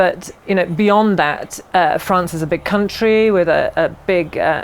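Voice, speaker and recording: A woman with an English accent, medium pitch, fairly even intonation, and noticeable background noise. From England. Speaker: herbalist and aromatherapy teacher. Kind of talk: interview.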